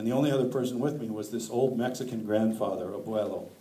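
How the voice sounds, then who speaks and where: Audible room echo surrounds a man with an American accent who speaks at a medium pitch and a fairly quick pace with ordinary pitch variation. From northern Wisconsin. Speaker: author. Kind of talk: lecture.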